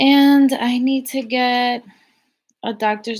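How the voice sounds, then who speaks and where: Her voice sits high in pitch for a woman. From Cuban heritage. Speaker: YouTuber, live stream host. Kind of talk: live stream chat, reading viewer comments. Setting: live stream.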